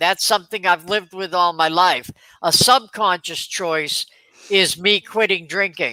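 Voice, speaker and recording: The speech comes in a Boston accent at a fairly slow pace. It is a very clean recording with a silent background. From Boston, US. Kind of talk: casual chat.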